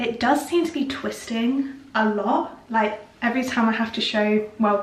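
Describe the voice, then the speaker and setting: Fairly high-pitched woman's voice with a British accent and ordinary pitch variation, amid noticeable background noise. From United Kingdom. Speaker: lifestyle vlogger. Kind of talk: casual chatty talk to camera. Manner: chatty, informal.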